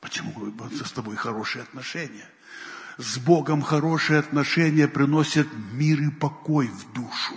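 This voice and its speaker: A somewhat breathy man's voice, fairly high in pitch, at a moderate pace with ordinary pitch variation and audible room echo. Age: old. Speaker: pastor. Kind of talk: sermon.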